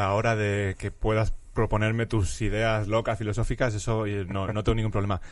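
Hardly pausing, a man talks at a moderate pace in a fairly low, monotone, flat voice against a quiet background. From Spain, Madrid (Vallecas). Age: 30s. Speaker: philosophy professor. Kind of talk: casual interview chat.

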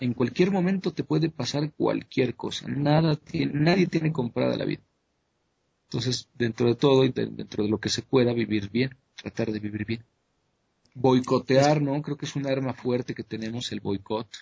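A somewhat breathy man talks at medium pitch and a moderate pace with ordinary pitch variation. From Mexico. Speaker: conspiracy researcher. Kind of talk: interview. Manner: halting, with frequent repetitions.

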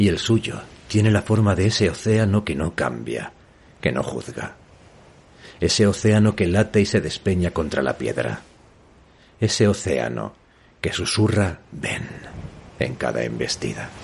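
A man's very deep, low voice with very wide pitch swings, a fairly slow pace and long, frequent pauses. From northern Spain. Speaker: novelist and podcast host. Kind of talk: reading aloud from own novel.

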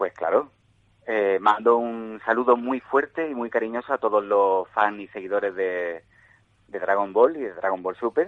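With an Andalusian accent, a man speaks at a fairly slow pace in a fairly low voice with ordinary pitch variation. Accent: marked Andalusian. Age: 30s. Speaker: voice actor and radio announcer. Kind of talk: interview. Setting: phone call. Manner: repetitive, stammering.

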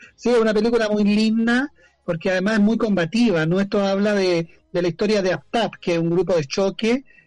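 Very even loudness, ordinary pitch variation and a fairly quick pace. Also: man, high pitch for a man. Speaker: activist and journalist. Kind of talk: casual interview chat. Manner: animated.

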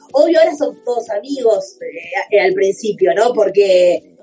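A woman's fairly high voice moves through very wide pitch swings at a fairly slow pace. Noticeable background noise runs underneath. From Argentina, Buenos Aires southern suburbs (Banfield). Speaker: comedian. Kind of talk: casual chat.

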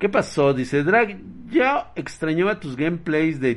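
A man speaks in an animated tone at a fairly slow pace, his pitch swinging very widely. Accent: Mexican. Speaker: livestreamer. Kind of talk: casual chat.

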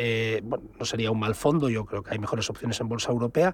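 This is a man speaking. His pitch is medium. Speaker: investment fund advisor. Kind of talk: radio call-in advice.

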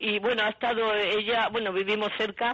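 At a moderate pace, a woman talks at a medium pitch in a normal speaking voice. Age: 60s. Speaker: caller. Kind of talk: phone-in question.

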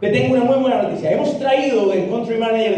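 There is audible room echo and noticeable background noise as a man rattles along at a very fast pace. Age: 30s. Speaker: multi-level marketing leader and motivational speaker. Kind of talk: motivational talk to a live audience. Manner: animated.

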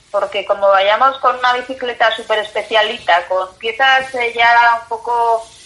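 The background noise is noticeable. A woman speaks at a fairly slow pace with ordinary pitch variation. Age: 30s. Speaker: journalist and bicycle traveller. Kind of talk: interview. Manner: halting, repeats words.

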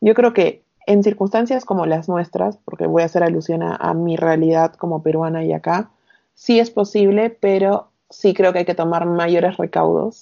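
At a moderate pace, a woman with an unremarkable speaking voice talks at a fairly low pitch with ordinary pitch variation. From Peru, Arequipa (south). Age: 30s. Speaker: recruiter and long-term traveller. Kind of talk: casual interview.

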